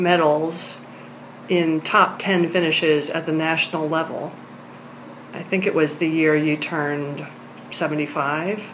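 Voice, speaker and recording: A woman with a fairly low pitch talks at a fairly slow pace amid noticeable background noise. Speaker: interviewer. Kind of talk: interview questions.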